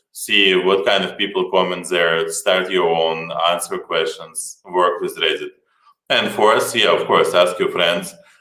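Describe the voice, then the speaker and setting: In a strong Slavic accent, the speaker goes at a fairly slow pace amid audible room echo. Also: man. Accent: heavy Slavic. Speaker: startup co-founder. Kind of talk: conference talk.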